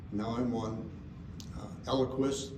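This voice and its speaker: A man speaks at a medium pitch with fairly even intonation. Audible room echo and noticeable background noise fill the recording. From Indiana. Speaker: chiropractor and lecturer. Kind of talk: seminar talk.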